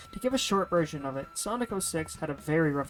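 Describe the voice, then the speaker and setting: A woman talking at a very fast pace over music in the background. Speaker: game reviewer. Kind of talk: video game review narration.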